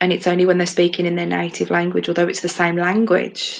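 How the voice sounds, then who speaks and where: In a Midlands accent, a woman speaks at a moderate pace with a fairly low pitch and monotone, flat intonation. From English Midlands. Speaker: podcast co-host. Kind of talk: casual chat.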